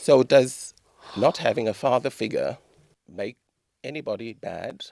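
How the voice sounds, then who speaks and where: A man with a South African accent, fairly slow, with big swings in loudness. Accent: South African, unchanged since childhood. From South Africa, Durban. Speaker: author. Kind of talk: interview.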